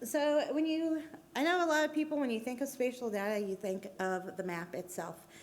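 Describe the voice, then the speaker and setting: A woman's fairly high voice with very wide pitch swings, in audible room echo. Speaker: transportation planner giving a conference talk. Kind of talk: conference presentation. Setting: stage with audience. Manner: casual with frequent fillers.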